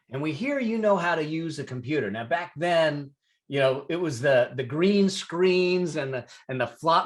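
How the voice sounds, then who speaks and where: Against a quiet background, a man with an ordinary speaking voice talks at a moderate pace with a fairly high pitch and ordinary pitch variation. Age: 60s. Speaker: CPA and business consultant. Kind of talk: interview storytelling.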